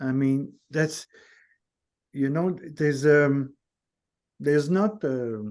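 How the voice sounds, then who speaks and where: Speaking with a non-native accent, a man with a fairly high pitch goes at a very slow pace, leaving long, frequent pauses. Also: ordinary pitch variation. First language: not English. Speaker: guest in nonduality conversation. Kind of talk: casual chat. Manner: halting, many false starts.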